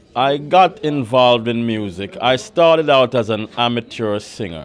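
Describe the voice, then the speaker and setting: Using lively intonation, a man with a Jamaican accent and a medium pitch speaks at a moderate pace. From Jamaica, Kingston. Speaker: record producer. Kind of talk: interview.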